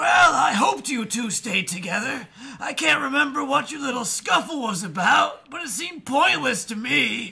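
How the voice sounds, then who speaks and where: A wheezy, put-on character voice, raised and projected, at a moderate pace with very wide pitch swings. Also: man, extremely high pitch for a man. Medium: read story.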